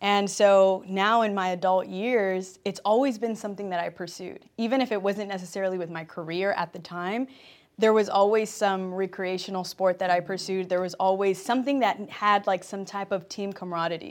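A normal speaking voice from a woman with an American accent, medium in pitch, at a moderate pace with fairly even intonation and hardly any pauses, on a very clean recording with a silent background. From Compton, Los Angeles. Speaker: athlete and entertainment host. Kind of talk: interview.

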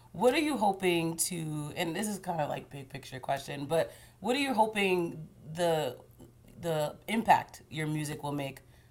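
Using an ordinary speaking voice, a woman talks at a moderate pace with lively intonation and a fairly low pitch. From Haitian-American. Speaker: TV news interviewer. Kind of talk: interview. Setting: apartment.

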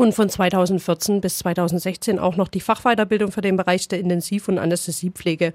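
A woman with a plain, everyday voice speaks at a moderate pace and medium pitch with fairly even intonation and hardly any pauses, in a dry, close sound with no echo. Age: 30s. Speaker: nurse and practical training supervisor. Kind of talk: interview. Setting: studio.

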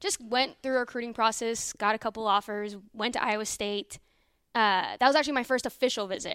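In a dry, close sound with no echo, a woman with an American accent and an unremarkable speaking voice talks at a fairly quick pace and fairly high pitch with ordinary pitch variation. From Northern Virginia, DC area. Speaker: sports reporter, former college gymnast. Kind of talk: casual interview chat.

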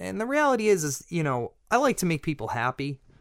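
Lively in intonation, a man with a Boston accent is heard in a dry, close sound with no echo on a very clean recording with a silent background. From Massachusetts North Shore (Peabody). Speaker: chef and restaurant owner. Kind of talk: casual interview. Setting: studio.

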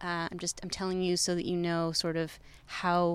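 A woman's plain, everyday voice, fairly low in pitch, at a fairly quick pace on a very clean recording with a silent background. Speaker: podcast co-producer, street interviewer. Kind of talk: pre-recorded segment narration. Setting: outdoors, street interviews.

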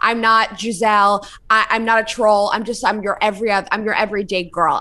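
A woman talks at a very fast pace in an animated, bright, sharp tone with a fairly high pitch. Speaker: podcast co-host. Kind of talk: casual chat, advice banter. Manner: animated, blunt.

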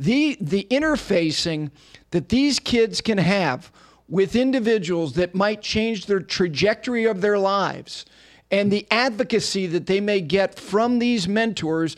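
A man with an American accent speaks fairly slowly in a high voice at very even loudness. The recording is very clean, with a silent background. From New Jersey, US. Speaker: podcast host. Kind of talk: interview. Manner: enthusiastic.

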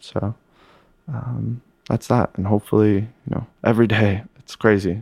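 With an American accent, a man talks at a fairly low pitch with vocal fry and fairly even intonation, in a dry, close sound with no echo. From upstate New York, Lake Placid. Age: 20s. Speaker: sommelier. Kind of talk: interview. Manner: casual, halting with many fillers.

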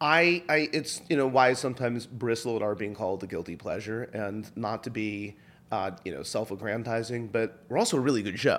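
At a fairly quick pace with hardly any pauses, a man speaks in an ordinary speaking voice at medium pitch with ordinary pitch variation. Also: very clean recording, silent background. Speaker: podcast host and producer. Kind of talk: interview.

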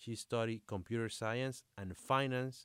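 On a very clean recording with a silent background and a dry, close sound with no echo, a man with a Spanish accent talks fairly slowly at a medium pitch with ordinary pitch variation. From Dominican Republic. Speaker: sports podcast host. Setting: studio. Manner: halting in English.

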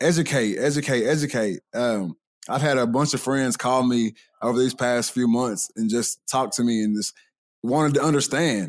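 A man's voice at medium pitch and moderate pace, with ordinary pitch variation, very even loudness and a dry, close sound with no echo. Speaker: college football player. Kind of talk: casual chat.

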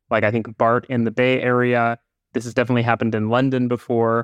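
A man speaks at a fairly quick pace in an unremarkable speaking voice, pitched in the middle range. The sound is dry and close, with no echo. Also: quiet background. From Canada, Vancouver. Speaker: public transit commentator. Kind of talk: casual podcast conversation.

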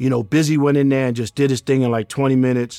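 Flat, monotone speech comes in a New York accent. The sound is dry and close with no echo, on a very clean recording with a silent background. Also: man. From Queens, New York. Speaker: music manager. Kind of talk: interview.

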